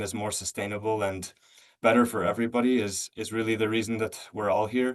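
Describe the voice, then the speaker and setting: Fairly quick and monotone, with flat intonation, a man speaks at a fairly low pitch. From United States. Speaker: policy speaker at a webinar. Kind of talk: webinar presentation. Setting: online webinar. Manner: halting, many fillers and restarts.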